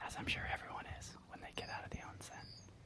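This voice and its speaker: A man whispering in a relaxed tone at a moderate pace, over noticeable background noise. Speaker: tea ASMR creator and storyteller. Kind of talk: close-whisper ASMR story time, outdoor. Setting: outdoors in Japan with nature sounds. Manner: soft, whispered, intimate, relaxed, chatty.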